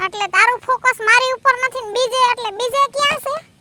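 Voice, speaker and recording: A woman uses a put-on character voice, squeaky and extremely high-pitched. She keeps a moderate pace and fairly even intonation in a dry, close sound with no echo. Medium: comedy sketch. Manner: teasing, quick-witted.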